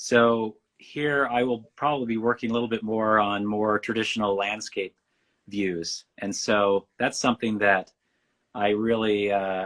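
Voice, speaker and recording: Against a quiet background, a man with a Western US accent talks at a moderate pace and fairly low pitch with fairly even intonation. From Western United States. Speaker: painter. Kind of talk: interview.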